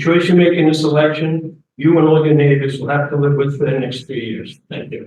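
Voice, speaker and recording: A man with a New York accent speaks at a fairly quick pace in a fairly high pitch. His voice is somewhat breathy, with fairly even intonation. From New York, Queens and Long Island. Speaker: community board candidate. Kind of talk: campaign speech. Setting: community meeting with audience.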